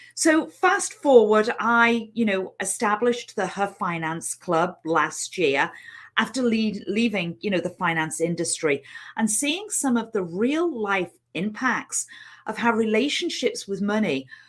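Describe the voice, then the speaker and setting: Her fairly high pitch swinging very widely, a woman speaks. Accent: Liverpool. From England, Liverpool. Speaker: money mindset coach. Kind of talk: online training webinar. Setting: live stream. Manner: hesitant, many fillers.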